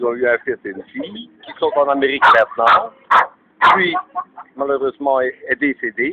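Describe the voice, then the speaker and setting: With a dry, close sound and no echo, the speech moves at a moderate pace, broken by long, frequent pauses and big swings in loudness. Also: man. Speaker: elderly witness of WWII. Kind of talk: interview. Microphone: poor audio quality.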